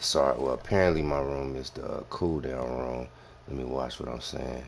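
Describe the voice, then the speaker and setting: Behind a man speaking at a moderate pace, there is noticeable background noise. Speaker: gaming live streamer and soldier. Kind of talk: casual chat during live game stream. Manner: talking low.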